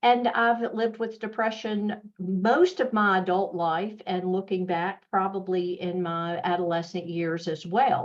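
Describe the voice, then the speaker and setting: A woman with a Southern US accent talks at a fairly slow pace, with hardly any pauses and fairly even intonation. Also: medium pitch for a woman. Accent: Southern US, fairly thick. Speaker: mental health nonprofit executive. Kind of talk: webinar presentation.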